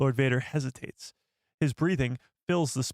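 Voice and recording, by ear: Over a quiet background, someone reads aloud in a natural voice with ordinary pitch variation.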